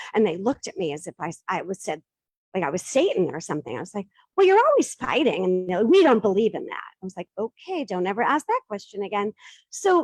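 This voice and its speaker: A woman with an American accent, fairly quick pace and very wide pitch swings, in a dry, close sound with no echo. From Boston, US. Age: 50s. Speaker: divorce coaching business founder. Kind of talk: Q&A after a pitch.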